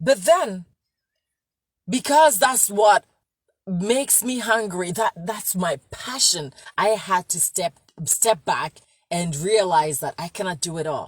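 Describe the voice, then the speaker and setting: Her voice somewhat breathy, a woman speaks at a very slow pace with lively intonation, big swings in loudness, and long pauses that come often. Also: medium pitch for a woman, dry, close sound with no echo. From Ghana. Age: 40s. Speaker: registered nurse and health coach. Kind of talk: motivational talk.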